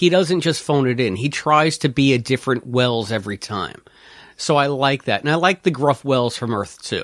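This is a man with a plain, everyday voice at a medium pitch. His pitch varies in an ordinary way, and his pace is moderate. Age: 40s. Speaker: podcast guest. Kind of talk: casual chat.

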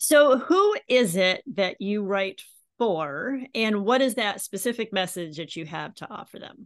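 Against a quiet background, a woman speaks in a normal speaking voice at a fairly slow pace with lively intonation. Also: medium pitch for a woman, big swings in loudness. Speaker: podcast host. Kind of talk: interview.

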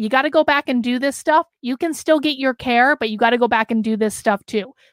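On a very clean recording with a silent background, a woman speaks at a high pitch in an animated tone with ordinary pitch variation. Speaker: political commentary livestreamer. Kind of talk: livestream commentary reading chat.

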